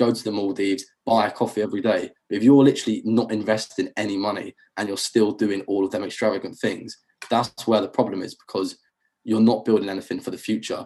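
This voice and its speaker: A man's dark, mellow voice, fairly low in pitch, rushes along at a very fast pace in a monotone, flat delivery. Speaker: accountant and finance content creator. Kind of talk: casual interview chat. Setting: video call.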